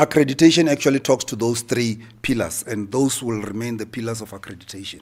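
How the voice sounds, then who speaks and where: The man speaks at a very fast pace with a medium pitch and ordinary pitch variation. His loudness swings widely. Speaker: accreditation official presenting at seminar. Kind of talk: conference presentation.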